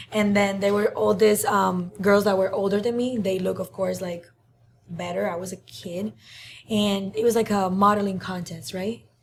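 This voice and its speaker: A woman with a Cuban accent speaks at a moderate pace and medium pitch, her somewhat breathy voice holding fairly even intonation. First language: Spanish. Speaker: social media influencer. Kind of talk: interview. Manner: hesitant, many fillers.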